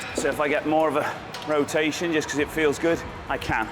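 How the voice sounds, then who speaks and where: A man talks in a fairly high pitch with a British accent. Music plays in the background. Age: 50s. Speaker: natural bodybuilder. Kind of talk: casual vlog talk to camera.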